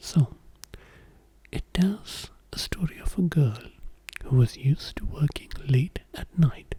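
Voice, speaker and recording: Someone whispers at a very slow pace in a gentle tone. Long pauses come often. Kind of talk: casual intro to camera. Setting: studio, close-mic ASMR. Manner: whispering, soft-spoken, gentle.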